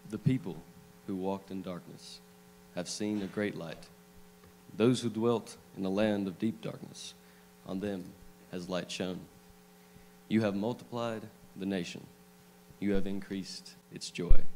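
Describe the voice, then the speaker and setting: Over light background noise, a man speaks in a fairly low pitch at a fairly slow pace. His pitch variation is ordinary, with long, frequent pauses. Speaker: scripture reader at a church service. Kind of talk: scripture reading. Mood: solemn, measured. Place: church. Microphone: handheld.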